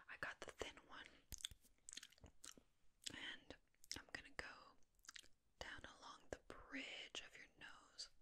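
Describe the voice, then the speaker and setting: A soft-spoken woman whispers at a very slow pace. Background noise is noticeable throughout. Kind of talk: soft personal-attention role-play talk. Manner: soft close-mic ASMR whisper. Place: home room.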